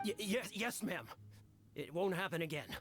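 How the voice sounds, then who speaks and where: A put-on character voice with lively intonation at a moderate pace, over clear background noise. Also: man, high pitch for a man. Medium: video game. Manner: stammering when scolded.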